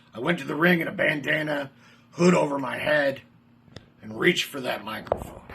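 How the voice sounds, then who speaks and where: A man's fairly quick speech is broken up by long, frequent pauses, with noticeable background noise behind it. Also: ordinary pitch variation. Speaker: pro wrestler and manager. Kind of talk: wrestling promo.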